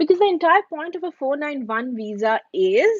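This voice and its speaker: A woman with an Indian accent and lively intonation, in a dry, close sound with no echo. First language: Hindi. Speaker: YouTuber answering viewer questions. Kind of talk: live stream Q&A. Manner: casual, with many fillers and restarts.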